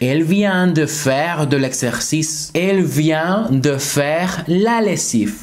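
A man speaks very slowly with hardly any pauses, using a fairly high pitch, ordinary pitch variation and very even loudness. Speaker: French teacher. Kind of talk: tutorial. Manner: slow, repeated example sentences. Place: home room.

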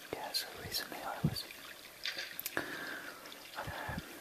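Amid loud background noise, a man keeps a moderate speaking pace. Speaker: whisper video maker. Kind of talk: whispered ASMR-style casual talk to camera. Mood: shy, reflective. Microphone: studio mic.

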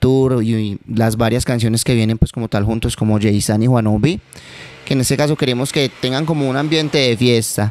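A man at a moderate pace, with fairly even intonation and a dry sound with no echo. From Manizales, Colombia; Colombia. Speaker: urban music artist; guest. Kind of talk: interview. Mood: relaxed, reflective. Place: home room. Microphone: handheld.

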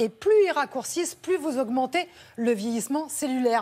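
A woman speaks at a moderate pace with a high pitch. Her intonation is lively. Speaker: health columnist; TV presenter. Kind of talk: studio chat. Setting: studio. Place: studio. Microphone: lapel.

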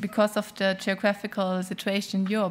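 Someone speaks with a German accent at a moderate pace. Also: woman. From Germany. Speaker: business association legal advisor; panelist. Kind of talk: panel discussion. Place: hall. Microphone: podium.

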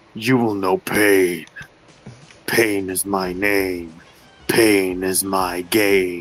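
A man's put-on character voice, very deep and low-pitched, at a very slow pace with long, frequent pauses. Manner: menacing, theatrical.

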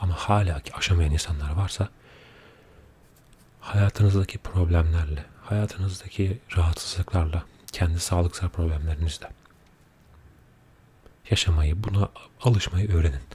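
A soft-spoken man with a very deep, low voice, a calm, dark and mellow tone, somewhat breathy, fairly even in intonation, at a fairly slow pace with long, frequent pauses. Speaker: ASMR creator. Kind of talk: casual talk to camera, ASMR chat. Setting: studio microphone, binaural. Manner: soft-spoken, calm.

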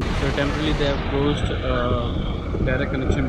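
Loud background noise runs under this recording. A man talks at a moderate pace. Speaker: travel vlogger. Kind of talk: casual vlog chat. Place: station. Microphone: phone near.

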